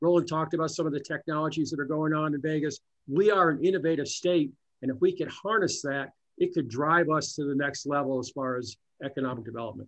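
A man speaks at a very fast pace with a fairly high pitch and ordinary pitch variation. The background is quiet. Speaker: economic development executive; webinar panelist. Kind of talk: panel discussion. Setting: phone call. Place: office. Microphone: video call.

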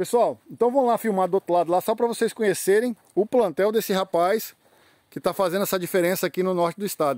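A man speaks at a very fast pace with a high pitch. The sound is dry with no echo, and the background is quiet. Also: ordinary pitch variation. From Espírito Santo, Brazil. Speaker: YouTube channel host touring a plant nursery. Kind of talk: casual on-site interview. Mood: enthusiastic. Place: garden. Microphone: phone near.

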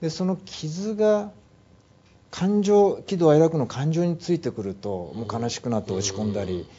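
Here a man speaks at a fairly high pitch. His pace is moderate and his pitch swings very widely. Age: 50s. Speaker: mental health management consultant; guest. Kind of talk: interview. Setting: studio. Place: studio. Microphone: lapel.

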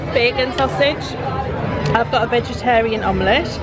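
A woman talks at a fairly slow pace while loud music plays in the background. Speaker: travel vlogger. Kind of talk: casual vlog chat. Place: cafe. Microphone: phone near.

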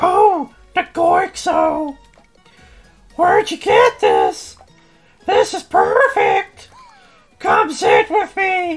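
Faint music plays behind a put-on character voice at an extremely high pitch, delivered at a very slow pace with long, frequent pauses. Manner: excitable, enthusiastic.

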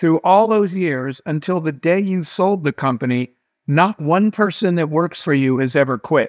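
In a dry sound with no echo against a quiet background, a man speaks at a fairly slow pace with a high pitch and lively intonation. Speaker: interview guest. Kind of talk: interview answer, storytelling. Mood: animated, amused. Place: home room. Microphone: webcam.

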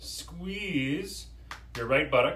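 There is audible room echo as a man speaks. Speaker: fitness instructor. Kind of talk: yoga class instruction, live-streamed guided movement cues. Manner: calm, clear, directive, instructional pacing with pauses; conversational, slightly hesitant with filler words. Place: home room. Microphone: camera far.

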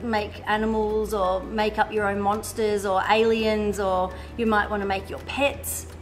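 Faint music plays in the background as a woman speaks in a monotone, flat way. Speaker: art workshop teacher. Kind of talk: tutorial. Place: studio.

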